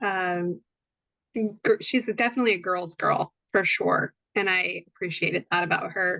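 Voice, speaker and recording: Against a quiet background, a woman speaks at a moderate pace with a medium pitch. Her tone is bright and sharp, and the sound is dry and close with no echo. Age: 30s. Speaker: life coach. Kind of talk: casual chat. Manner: hesitant, many fillers.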